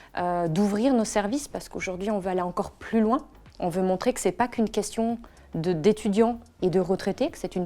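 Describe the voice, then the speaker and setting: In a very clean recording with a silent background, a woman with a dark, mellow tone speaks at a fairly quick pace and medium pitch, with ordinary pitch variation and big swings in loudness. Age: 40s. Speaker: entrepreneur. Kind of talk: interview.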